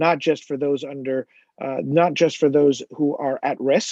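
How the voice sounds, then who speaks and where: In a dry, close recording with no echo, a man with an American accent speaks in a dark, mellow tone with monotone, flat intonation. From New Jersey. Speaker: business applicant. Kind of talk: public presentation. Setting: township committee meeting. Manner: fast.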